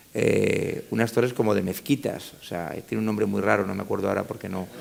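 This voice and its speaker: A man with a fairly low pitch talks at a fairly quick pace with fairly even intonation against noticeable background noise. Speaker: politician. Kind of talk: panel discussion. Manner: fast.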